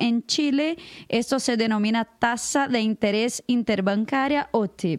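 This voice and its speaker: A woman's fairly high voice at a very slow pace with ordinary pitch variation, dry and close with no echo, on a very clean recording with a silent background. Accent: Brazilian. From Brazil. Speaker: international news editor. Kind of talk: casual chat.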